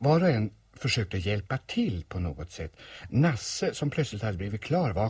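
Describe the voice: Simply plain reading aloud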